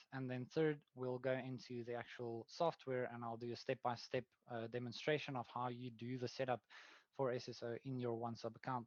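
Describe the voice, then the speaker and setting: Monotone and flat, a man with a South African accent speaks fairly quickly in a medium pitch, the sound dry and close with no echo. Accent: South African Afrikaans. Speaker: product manager. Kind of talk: webinar presentation. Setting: online webinar. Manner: hesitant, many fillers.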